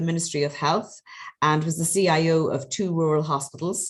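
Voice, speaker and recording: A woman with an Irish accent, fairly low in pitch, at a moderate pace with fairly even intonation. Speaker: webinar moderator, health manager. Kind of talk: webinar moderation.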